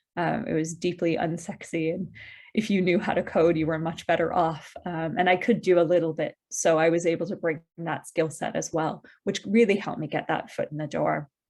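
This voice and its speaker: A woman with an American accent talks at a fairly quick pace in a fairly low voice, keeping her intonation fairly even over a quiet background. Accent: American-sounding. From US (Midwest), partly North Wales. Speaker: tech industry professional, career fair speaker. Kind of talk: presentation. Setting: online video call. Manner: fairly fast-paced.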